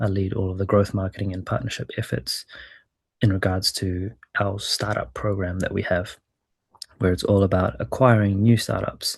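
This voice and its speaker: Over a quiet background, a man with a New Zealand accent talks at a fairly quick pace in a fairly low, somewhat breathy voice. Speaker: startup growth lead and former venture capitalist. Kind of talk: webinar presentation.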